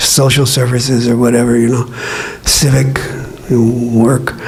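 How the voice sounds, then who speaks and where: Amid noticeable background noise and audible room echo, a man speaks at medium pitch. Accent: American. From US West, East Los Angeles. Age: 70s. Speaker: radio DJ and guitar teacher. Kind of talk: talk to an audience. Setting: public library event with audience. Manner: halting, with repeated words.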